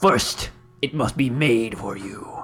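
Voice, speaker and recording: Medium in pitch and raspy, a man performs a put-on character voice. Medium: actual play. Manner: curt, grave, commanding.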